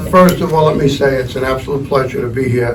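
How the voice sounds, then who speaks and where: Over noticeable background noise and audible room echo, a man speaks with an American accent. His pitch is medium and his intonation fairly even. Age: 70s. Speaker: fire districts association president. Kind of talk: press conference speech.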